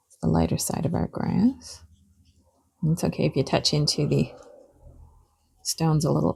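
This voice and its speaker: A woman talks at a moderate pace in a relaxed, gentle tone with long, frequent pauses. Her loudness swings widely. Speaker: watercolour art teacher. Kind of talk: tutorial.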